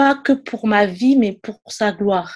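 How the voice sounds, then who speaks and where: A woman's fairly high voice at a very slow pace. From Ivory Coast. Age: 20s. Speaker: podcast guest sharing faith testimony. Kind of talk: testimony.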